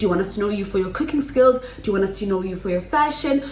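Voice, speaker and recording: With lively intonation at a medium pitch, a woman talks over noticeable background noise. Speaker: YouTuber. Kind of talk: tutorial. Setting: home kitchen. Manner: loud.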